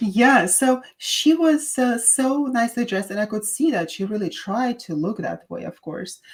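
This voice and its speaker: A woman with a Russian accent speaks at a fairly high pitch with lively intonation and hardly any pauses. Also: moderate pace. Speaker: podcast host, doctor. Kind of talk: casual chat.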